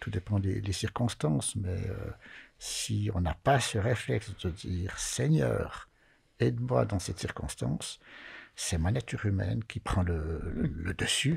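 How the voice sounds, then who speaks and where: A man speaks at a fairly slow pace in a very deep, low voice with vocal fry, his pitch swinging very widely. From Valais, Switzerland (Chablais); Valais, Switzerland. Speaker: Sabbath school leader; panelist. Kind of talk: Bible study discussion. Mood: earnest, reflective. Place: studio. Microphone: studio mic.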